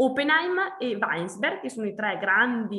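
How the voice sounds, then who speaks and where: A woman talks at a fairly high pitch with very wide pitch swings. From Trentino, Italy. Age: 30s. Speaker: winemaker. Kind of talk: interview. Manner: halting.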